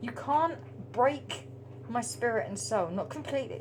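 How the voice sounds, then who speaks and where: A woman with an English accent speaks in an animated tone. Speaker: spiritual tarot reader. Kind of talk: casual monologue to camera. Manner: halting, stuttering speech.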